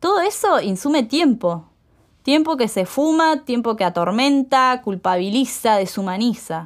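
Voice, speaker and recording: The voice makes very wide pitch swings at very even loudness and a fairly slow pace, on a very clean recording with a silent background. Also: woman, high pitch for a woman. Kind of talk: spoken word testimony, read aloud as a first-person story. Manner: impassioned, rhythmic, defiant; urgent, building to a rallying cry.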